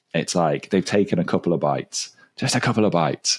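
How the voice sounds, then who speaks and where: A man with an English accent talks at a fairly quick pace in a very deep, low voice with vocal fry. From England. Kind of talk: casual chat. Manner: animated.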